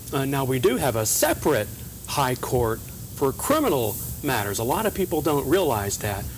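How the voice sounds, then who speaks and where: There is noticeable background noise. Through it, a man talks with an American accent. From Northeast Texas, Kaufman County. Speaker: state supreme court justice. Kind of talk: TV interview. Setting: TV studio.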